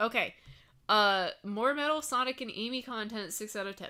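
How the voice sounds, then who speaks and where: A woman's raised, projected voice, bright and sharp in tone and animated, with ordinary pitch variation at a moderate pace on a very clean recording with a silent background. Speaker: streamer. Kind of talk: casual live stream chat.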